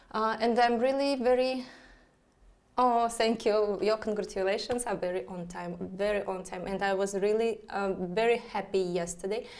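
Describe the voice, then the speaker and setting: At a moderate pace, a woman with a Russian accent speaks at a medium pitch with ordinary pitch variation. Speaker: astrologer. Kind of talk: live stream chat. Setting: live online broadcast. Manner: halting, many fillers.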